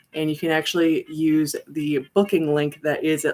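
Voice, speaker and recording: A woman speaks in a very deep, low pitch. Music plays in the background. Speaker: tarot reader. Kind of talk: live stream chat. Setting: live stream on computer. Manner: fast.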